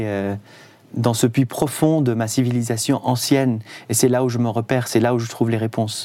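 Speaking in an Arabic accent, a man uses a medium pitch and fairly even intonation at a fairly slow pace. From Syria, Damascus. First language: Arabic (speaking French). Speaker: concert violinist. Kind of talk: radio interview. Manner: halting.

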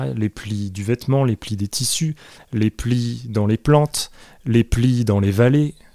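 Speaking at a very slow pace, a man has a medium pitch and a dark, mellow tone, recorded with a dry, close sound and no echo. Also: ordinary pitch variation. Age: 30s. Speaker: comic book author and artist. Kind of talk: interview. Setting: artist's studio.

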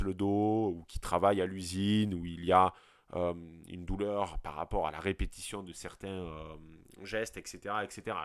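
In a very clean recording with a silent background, a man with a southern French accent talks at a fairly slow pace in a very deep, low pitch and a monotone, flat intonation. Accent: regional southern French. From southern French countryside. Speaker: podcast host. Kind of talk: solo podcast monologue. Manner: hesitant, many fillers and repetitions.

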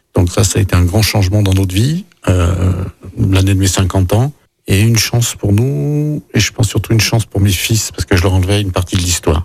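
An unremarkable speaking voice at a fairly quick pace, with very even loudness and ordinary pitch variation. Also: man, fairly low pitch for a man. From France, Lyon. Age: 50s. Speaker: chef and mayoral candidate. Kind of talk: radio interview.

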